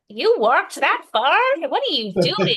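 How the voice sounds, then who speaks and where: Put-on character voice from a woman, high in pitch, swinging very widely, moderate in pace. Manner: incredulous.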